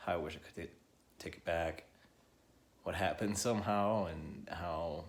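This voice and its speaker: A soft-spoken man's very deep, low voice, at a moderate pace with long, frequent pauses and fairly even intonation. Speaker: vlogger sharing personal experience. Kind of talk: personal testimony. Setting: at home. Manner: quiet, soft-spoken; halting, hesitant.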